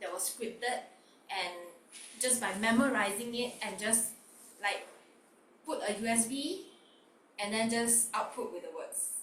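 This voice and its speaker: Long, frequent pauses break up a woman's fairly slow speech. Her pitch is fairly high, and there is audible room echo. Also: ordinary pitch variation. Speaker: online workshop host. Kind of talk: interactive online workshop. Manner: loud.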